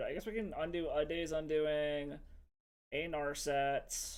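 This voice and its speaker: Loud and high-pitched, a man speaks at a fairly slow pace with audible room echo. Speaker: MTG streamer. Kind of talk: live game commentary. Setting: home stream.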